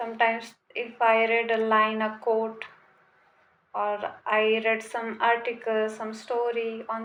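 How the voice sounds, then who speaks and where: A woman with a non-native accent speaks very slowly. Her voice is fairly high. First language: not English. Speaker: vlogger. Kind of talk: casual monologue to camera. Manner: hesitant, many fillers.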